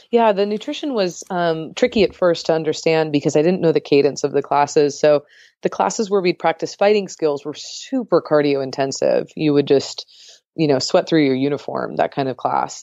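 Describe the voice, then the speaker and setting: A woman with an American accent, a very deep, low pitch, lively intonation and a moderate pace. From San Diego, California. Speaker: runner and diabetes blogger. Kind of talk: interview.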